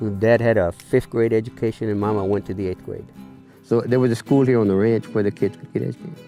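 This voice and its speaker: A man with a Texan accent, very fast delivery, medium pitch and ordinary pitch variation, music playing behind him. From Texas, San Antonio area ranch. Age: 70s. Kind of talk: interview answer. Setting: outdoors. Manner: casual, conversational.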